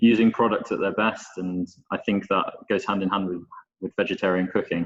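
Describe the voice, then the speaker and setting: The speaker has a British accent and talks at a fairly quick pace. The intonation is fairly even. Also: man. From Scotland and northern England. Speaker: chef instructor. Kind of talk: webinar presentation.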